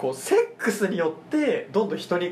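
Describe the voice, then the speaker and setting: A man speaks against noticeable background noise. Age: 20s. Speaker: podcast host. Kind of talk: casual chat.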